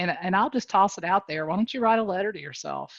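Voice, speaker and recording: The woman talks very fast, her pitch varying in an ordinary way. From North Carolina. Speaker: real estate coach. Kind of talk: motivational talk on video call. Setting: video call. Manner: animated.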